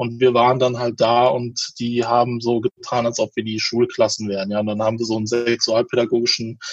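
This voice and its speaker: A man with a medium-pitched voice talks while noticeable noise runs in the background. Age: 30s. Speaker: sex educator and pregnancy counselor. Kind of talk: interview.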